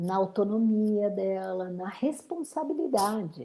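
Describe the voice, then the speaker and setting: This woman's voice sits at a medium pitch. Her tone is dark and mellow. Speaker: menopause therapist. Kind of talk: interview.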